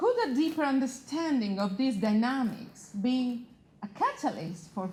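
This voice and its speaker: A woman with an Italian accent speaks at a fairly slow pace with lively intonation. The recording has audible room echo and noticeable background noise. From Italy. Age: 40s. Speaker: magazine founder and panel moderator. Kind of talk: panel discussion.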